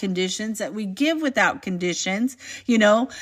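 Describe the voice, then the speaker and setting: Speaking in an American accent, a woman uses an animated tone at a moderate pace with ordinary pitch variation. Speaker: faith-based motivational vlogger. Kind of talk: inspirational talk.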